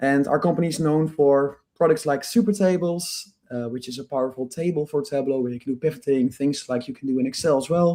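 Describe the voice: A man with a medium pitch and a dark, mellow tone speaks at a fairly quick pace with few pauses and ordinary pitch variation.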